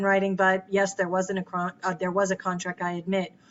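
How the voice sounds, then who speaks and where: A woman is talking. Her voice is medium in pitch. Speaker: professor. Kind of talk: lecture. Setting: recorded lecture with slides. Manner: halting.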